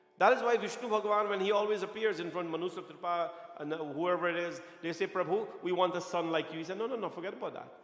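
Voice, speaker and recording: The speaker talks at a very fast pace in an animated tone with ordinary pitch variation, with audible room echo and noticeable background noise. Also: man, high pitch for a man. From Guyana. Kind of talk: sermon. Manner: animated, repetitive preaching style.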